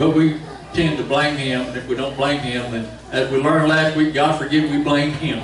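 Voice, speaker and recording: Amid light background noise and audible room echo, a man talks at a fairly quick pace with fairly even intonation. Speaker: preacher. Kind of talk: sermon. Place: church. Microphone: camera far.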